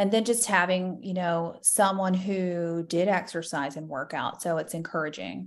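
A woman's unremarkable speaking voice with an American accent, fairly low in pitch, fairly even in intonation, moderately paced with hardly any pauses, over a quiet background. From Florida. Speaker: nurse practitioner and bikini competitor. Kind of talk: casual interview.

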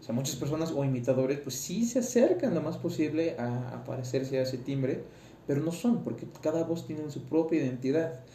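A man speaks at a fairly quick pace in a fairly high pitch, with ordinary pitch variation. The room echo is audible and the background noise is noticeable. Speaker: tenor student podcaster. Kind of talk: casual monologue. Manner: halting.

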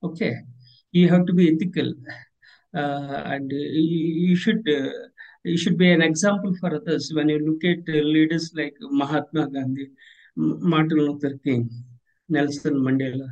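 Long pauses come often in this speech with an Indian accent. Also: man. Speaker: leadership consultant and author. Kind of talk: interview. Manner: halting.

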